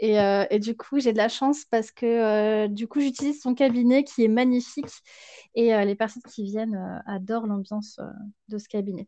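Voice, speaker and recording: The woman's intonation is fairly even as she speaks at a moderate pace. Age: 30s. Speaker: sophrologist and Ayurveda practitioner. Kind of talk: interview. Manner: halting.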